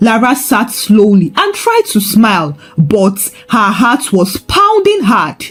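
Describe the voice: A woman's slow-paced speech with big pitch swings. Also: medium pitch for a woman.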